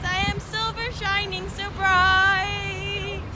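Very slowly, a woman speaks in a put-on character voice pitched extremely high. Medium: voice reel.

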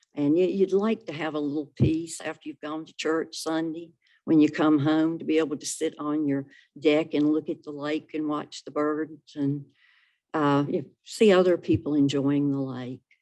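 A woman with a very deep, low pitch and a dark, mellow tone speaks at a moderate pace, her intonation fairly even but her loudness swinging widely. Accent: North Carolina. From North Carolina (Salisbury, Rowan County). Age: 70s. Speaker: public commenter at county meeting. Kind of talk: public comment at a government meeting. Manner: hesitant, with many fillers.

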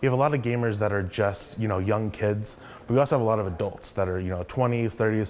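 Over light background noise, a man with a fairly low pitch and fairly even intonation speaks at a very fast pace. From Oklahoma (Yukon). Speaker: tech startup co-founder. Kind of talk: interview monologue. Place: office.

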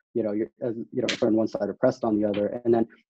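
A man talks at a medium pitch, with a quiet background behind him. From Sudanese diaspora, grew up abroad. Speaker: panelist. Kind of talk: online panel discussion. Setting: video call. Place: home room. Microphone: video call.

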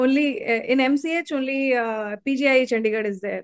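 Over a quiet background, a woman talks at a fairly slow pace with fairly even intonation, in a dry sound with no echo. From India, Mathura, Uttar Pradesh; Uttar Pradesh. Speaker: surgeon, exam topper; interviewee. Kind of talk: interview. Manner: halting. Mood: pleased, smiling. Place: home room.

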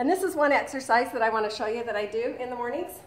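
The room gives off an audible echo. The voice belongs to a woman. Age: 50s. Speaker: vlogger. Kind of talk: product demo and exercise tip. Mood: upbeat, encouraging. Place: home room. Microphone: webcam.

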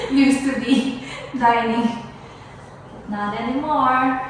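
A woman speaks with fairly even intonation and light background noise. Strong room echo surrounds her voice. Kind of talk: casual vlog chat. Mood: wistful, relaxed. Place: empty room. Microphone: camera far.

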